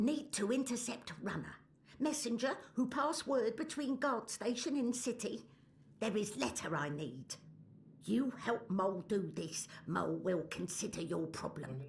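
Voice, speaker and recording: Someone in a put-on character voice speaks at a fairly high pitch. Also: moderate pace. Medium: video game. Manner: broken grammar, refers to herself as the mole.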